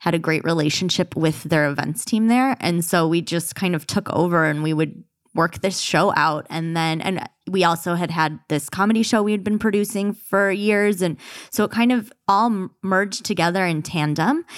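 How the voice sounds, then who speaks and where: With an American accent and an unremarkable speaking voice, a woman talks at a moderate pace in a fairly low pitch, with ordinary pitch variation and very even loudness. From Michigan. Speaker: podcast co-host. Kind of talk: casual chat. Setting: studio.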